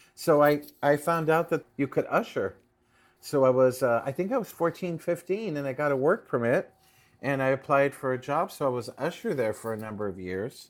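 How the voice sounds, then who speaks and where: A man with an American accent, a normal speaking voice, lively intonation and a moderate pace. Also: fairly high pitch for a man. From Los Angeles, Pico Union. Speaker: playwright and theater director. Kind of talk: interview.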